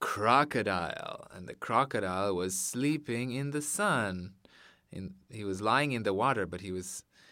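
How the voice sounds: Lively intonation in a natural reading voice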